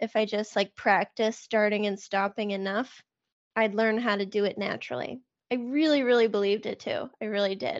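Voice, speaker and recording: Here a woman has an ordinary speaking voice, pitched fairly high. She moves at a fairly quick pace with fairly even intonation. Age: 30s. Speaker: recovery podcaster and sobriety coach. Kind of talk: personal testimony in interview.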